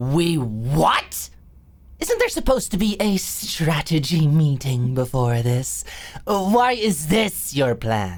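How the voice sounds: Slow and slightly mellow, this put-on character voice swings widely in pitch. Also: woman, low pitch for a woman.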